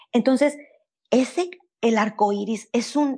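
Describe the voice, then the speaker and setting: A woman's unremarkable speaking voice with lively intonation. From Mexico (Veracruz, later Monterrey). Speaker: animal communicator. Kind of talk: interview, storytelling.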